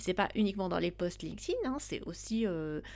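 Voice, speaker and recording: A woman speaks. The recording is very clean, with a silent background. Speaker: podcast host. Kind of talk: solo podcast talk. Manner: slow; hesitant, many fillers.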